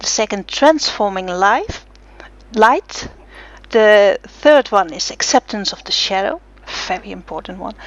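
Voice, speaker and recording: A woman with a fairly high voice speaks at a fairly slow pace. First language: not English. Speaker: blogger and interviewer. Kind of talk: interview. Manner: halting, many fillers.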